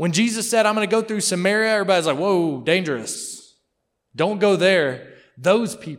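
A high-pitched man with a Mississippi accent, moderate pace and ordinary pitch variation, on a very clean recording with a silent background. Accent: US Southern (Mississippi). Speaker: missionary. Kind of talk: sermon. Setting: church.

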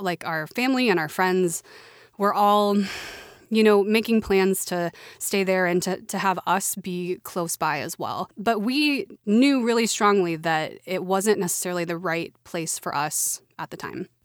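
A woman with an American accent and an unremarkable speaking voice talks at a fairly slow pace, at medium pitch with ordinary pitch variation, in a very clean recording with a silent background. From Oklahoma. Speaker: podcast co-host. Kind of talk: casual chat.

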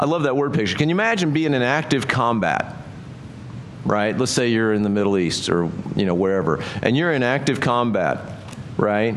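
Over noticeable background noise, a man with a medium-pitched voice speaks at a moderate pace with lively intonation and very even loudness. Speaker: pastor. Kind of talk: sermon. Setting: church. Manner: conversational.

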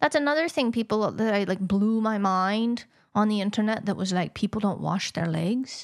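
Speech at a moderate pace and very even loudness comes through on a very clean recording with a silent background. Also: woman, medium pitch for a woman, ordinary pitch variation. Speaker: podcast co-host.

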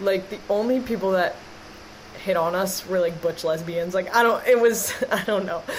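In a plain, everyday voice, a woman speaks at a moderate pace with fairly even intonation. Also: medium pitch for a woman. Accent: American. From Wisconsin, Green Bay. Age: 20s. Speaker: sports podcast co-host. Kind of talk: casual chat.

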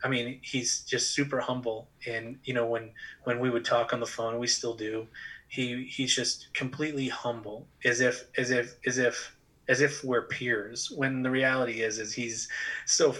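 A man with an American accent at medium pitch, bright and sharp in tone, monotone and flat, at a moderate pace. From Massachusetts, New England. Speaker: pastor and author. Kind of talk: casual interview. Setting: remote recording.

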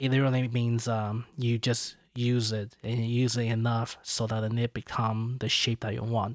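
A man with a Chinese accent, medium pitch, monotone, flat intonation and a moderate pace. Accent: Mandarin-accented English. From China. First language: Mandarin Chinese. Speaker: podcast host. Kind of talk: casual chat. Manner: halting, many fillers.

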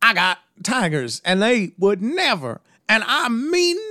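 A man speaks at a high pitch in a raised, projected voice, very slowly, with very wide pitch swings and a bright, sharp tone, on a very clean recording with a silent background. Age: 30s. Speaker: podcast guest. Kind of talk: casual chat.

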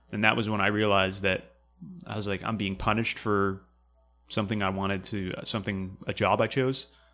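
In a very clean recording with a silent background, a man with an American accent talks fairly quickly in a fairly low, monotone, flat voice. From New Hampshire, US. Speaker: podcast host and Marine veteran. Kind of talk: casual interview conversation.

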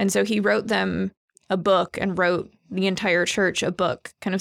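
In a very clean recording with a silent background, a woman talks at a moderate pace and medium pitch in a normal speaking voice. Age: 30s. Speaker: church staff. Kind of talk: casual chat.

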